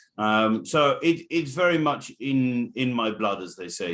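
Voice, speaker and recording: A man with an English accent speaks at a fairly slow pace, with lively intonation. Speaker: racehorse trainer. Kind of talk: casual chat.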